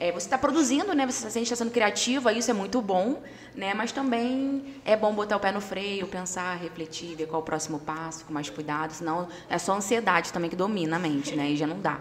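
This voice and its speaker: Over noticeable background noise, a woman speaks at a fairly quick pace with hardly any pauses. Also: medium pitch for a woman, lively intonation. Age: 30s. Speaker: casting producer and singer. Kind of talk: casual chat.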